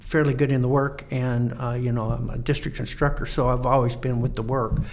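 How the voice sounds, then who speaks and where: Fairly quick, monotone speech from a medium-pitched man with an American accent, flat in intonation, amid noticeable background noise and audible room echo. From Colorado. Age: 70s. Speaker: Freemason lodge instructor. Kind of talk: podcast interview. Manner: halting, many fillers.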